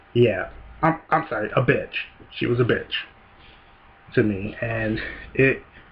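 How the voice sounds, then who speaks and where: Somewhat breathy, a man speaks at a fairly slow pace with ordinary pitch variation and long, frequent pauses. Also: medium pitch for a man. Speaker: YouTuber. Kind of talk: casual vlog monologue. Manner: hesitant, many fillers.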